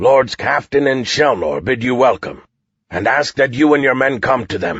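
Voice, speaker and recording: Someone performs a put-on character voice, growling at a moderate pace. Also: man, medium pitch for a man. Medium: read story. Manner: formal, measured.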